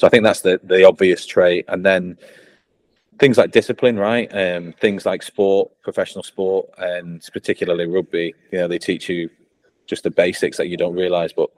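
A man with a strong northern English accent at a moderate pace, in a dry, close sound with no echo. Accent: northern English, fairly strong. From Blackpool, northern England. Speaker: ex-pro rugby player, tech sales VP. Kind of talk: casual interview chat. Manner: casual, hesitant with filler words.

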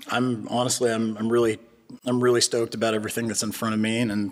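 Over noticeable background noise, a man with a Californian accent talks very fast in a flat monotone at a medium pitch. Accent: General American (Californian). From California, Bay Area. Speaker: defense tech entrepreneur. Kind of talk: casual interview. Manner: hesitant with many fillers and repetitions.

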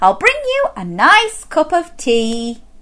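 Putting on a character voice, a woman speaks slowly in a high, bright, sharp tone with very wide pitch swings.

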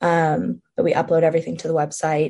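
Somewhat breathy and fairly low in pitch, a woman speaks with a dark, mellow tone. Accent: American. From New Jersey, Montclair. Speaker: college student and student newspaper editor. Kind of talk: interview.

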